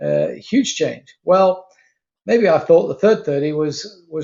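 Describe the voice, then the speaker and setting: He speaks with a British accent. The man's pace is moderate. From Britain. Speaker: retired aerospace worker, program leader. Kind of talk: interview.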